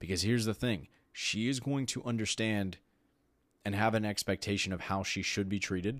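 A normal speaking voice: a man with an American accent talks fairly quickly at a fairly low pitch with ordinary pitch variation, in a very clean recording with a silent background. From Texas. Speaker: podcast host. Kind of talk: solo podcast monologue.

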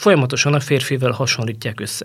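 Somewhat breathy, a man with a fairly high voice speaks at a moderate pace. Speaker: journalist, former football federation women's football head. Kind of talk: interview conversation.

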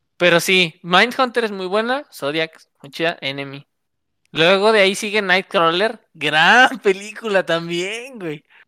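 With a Mexican accent and a bright, sharp tone, a woman speaks at a medium pitch and a fairly slow pace with lively intonation, in a very clean recording with a silent background. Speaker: podcast co-host. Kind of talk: casual chat. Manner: animated.

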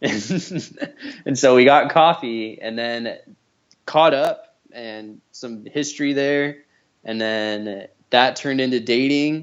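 Speaking very slowly in an American accent, a man at a medium pitch shows big swings in loudness and ordinary pitch variation. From California Central Valley (Shafter). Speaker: college friend. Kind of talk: casual chat. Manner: animated.

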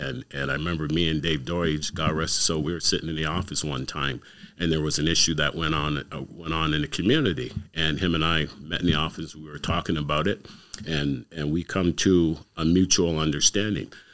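A man's very deep, low voice with vocal fry and fairly even intonation, at a fairly quick pace. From Canada, Windsor, Ontario. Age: 60s. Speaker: community youth worker. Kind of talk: casual interview.

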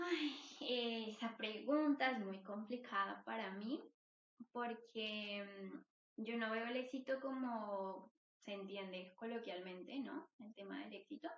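Very slow speech from a woman, fairly high in pitch, its pitch varying in an ordinary way. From Colombia, Bogotá. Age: 20s. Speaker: psychologist. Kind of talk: interview.

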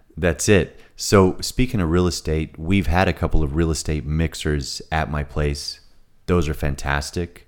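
Vocal fry marks this man's very deep, low voice as he speaks at a moderate pace with fairly even intonation and an American accent. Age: 30s. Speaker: event venue owner. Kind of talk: casual interview chat. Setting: studio.

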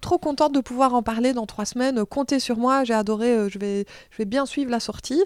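Recorded very cleanly against a silent background, with a dry, close sound and no echo, a woman speaks at a moderate pace in a high voice. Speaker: film journalist and TV presenter. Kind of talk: casual interview.

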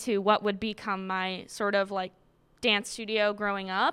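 In a very clean recording with a silent background, a woman with an American accent speaks at a fairly high pitch in an unremarkable speaking voice. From Massachusetts (Quincy). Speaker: college student and dancer. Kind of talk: personal story. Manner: casual, filler-heavy.

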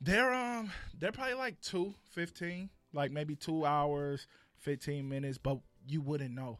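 A man's fairly high voice with lively intonation and an American accent, at a fairly slow pace. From Compton, Los Angeles. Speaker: playwright and producer. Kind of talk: casual podcast interview.

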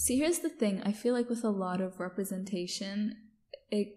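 A woman speaks at a moderate pace with a fairly high pitch, a dark, mellow and somewhat breathy tone, and ordinary pitch variation. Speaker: podcast host. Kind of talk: casual chat.

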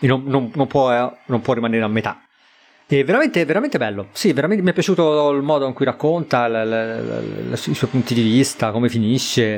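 The speaker is a man at medium pitch. He talks at a fairly quick pace with ordinary pitch variation. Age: 40s. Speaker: podcast co-host. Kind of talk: casual chat. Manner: halting, repeats words.

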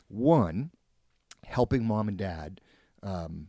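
A man talks with an American accent and a dark, mellow tone. The sound is dry and close with no echo, on a very clean recording with a silent background. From Spokane area, Washington, US. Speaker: university professor. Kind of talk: casual chat.

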